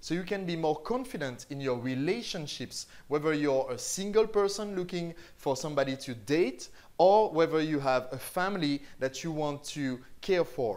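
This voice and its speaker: A man speaks with a fairly high pitch. His intonation is lively. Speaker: online marketing teacher. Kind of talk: tutorial.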